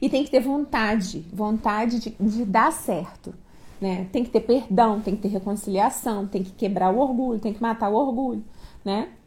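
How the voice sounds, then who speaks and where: Somewhat breathy, this woman's voice sits fairly high with ordinary pitch variation. She keeps a moderate pace. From Niterói, Rio de Janeiro, Brazil. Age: 40s. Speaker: host's wife. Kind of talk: casual chat.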